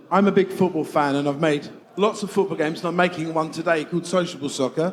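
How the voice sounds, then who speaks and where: A man's high-pitched voice shows ordinary pitch variation against noticeable background noise. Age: 50s. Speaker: game developer. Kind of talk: stage interview.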